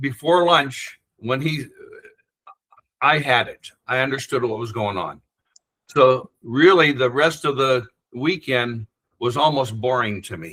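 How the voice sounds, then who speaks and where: With a bright, sharp tone at medium pitch, a man speaks fairly slowly, leaving long, frequent pauses, his loudness swinging widely and his pitch varying in an ordinary way. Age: 70s. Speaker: spiritual practice author. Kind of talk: podcast interview. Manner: halting.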